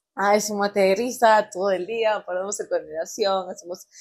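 A woman is speaking. She has a northern coastal Peruvian accent. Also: very clean recording, silent background. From Peru, Chiclayo region (Cayaltí). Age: 20s. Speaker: industrial engineer. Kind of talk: casual interview chat.

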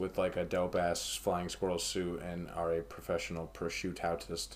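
A man is talking. His accent is American. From United States. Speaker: podcast host. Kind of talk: casual chat.

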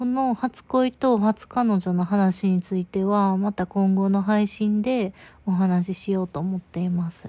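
A woman's medium-pitched, somewhat breathy voice with a dark, mellow tone, fairly slow and fairly even in intonation, on a very clean recording with a silent background and a dry, close sound with no echo. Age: 20s. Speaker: podcaster. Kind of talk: casual monologue. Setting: in bed. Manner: soft-spoken.

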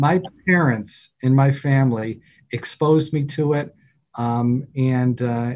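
This man has a dark, mellow tone, a somewhat breathy quality, fairly even intonation and an upstate New York accent. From upstate New York, near Syracuse. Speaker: deacon. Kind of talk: casual interview.

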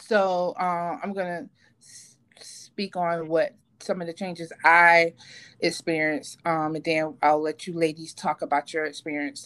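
On a very clean recording with a silent background, a woman with an ordinary speaking voice talks at a fairly slow pace in a fairly low pitch, with ordinary pitch variation. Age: 40s. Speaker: podcast host. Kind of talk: casual chat.

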